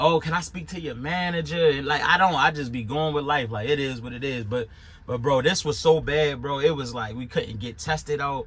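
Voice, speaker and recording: A man with a Baltimore accent speaks at a fairly quick pace in a fairly high pitch, his bright, sharp tone carrying ordinary pitch variation. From Baltimore, Maryland. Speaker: YouTuber reviewing his truck driving school. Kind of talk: casual monologue review. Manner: animated.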